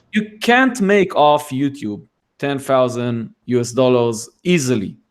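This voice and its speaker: This man has a non-native accent and a fairly high pitch. He speaks at a very slow pace with lively intonation. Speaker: tech YouTuber. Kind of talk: casual chat.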